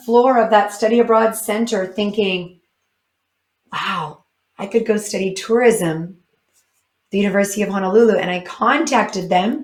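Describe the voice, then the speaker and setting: A woman with a Canadian accent speaks at a fairly high pitch with ordinary pitch variation. Her speech has long, frequent pauses. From northern Canada (British Columbia area). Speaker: motivational speaker. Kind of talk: keynote talk.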